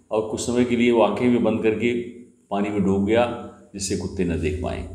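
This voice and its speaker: Fairly low-pitched male voice with a dark, mellow tone and fairly even intonation, audible room echo over a quiet background. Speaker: storyteller. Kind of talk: moral storytelling. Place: home room. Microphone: phone near.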